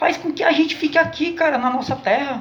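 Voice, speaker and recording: Over noticeable background noise, a man with a northeastern Brazilian accent talks at a moderate pace. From Northeast Brazil. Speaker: vlogger. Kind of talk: political commentary monologue. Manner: impassioned.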